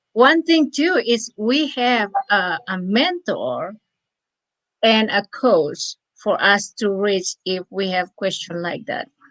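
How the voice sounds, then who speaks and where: Speaking very slowly with a non-native accent, a woman uses a fairly high voice whose pitch swings very widely. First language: not English. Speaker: online business promoter. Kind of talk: live chat interview. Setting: live stream. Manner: halting.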